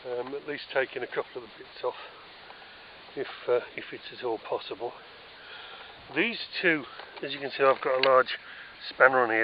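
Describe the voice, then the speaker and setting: A man speaks with a British accent at a moderate pace and medium pitch. His intonation is fairly even, with noticeable background noise. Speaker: DIY vlogger restoring a trailer. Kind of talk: casual walkthrough tour. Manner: hesitant with many fillers.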